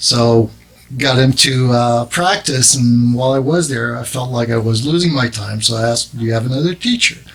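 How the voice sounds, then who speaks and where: With a French accent, a man talks at a moderate pace and medium pitch, his pitch varying in an ordinary way over noticeable background noise. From Quebec, Montreal suburb. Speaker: drum maker and business owner. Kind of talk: interview. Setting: studio. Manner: halting.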